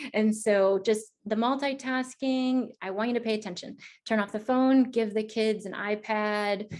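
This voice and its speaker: A woman with a fairly high pitch, at a fairly slow pace with hardly any pauses. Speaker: integrative health practitioner giving a webinar. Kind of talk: webinar presentation. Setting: online webinar. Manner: animated.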